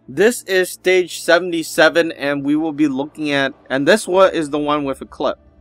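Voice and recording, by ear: With faint music in the background, a man speaks at a moderate pace in a fairly high pitch with ordinary pitch variation.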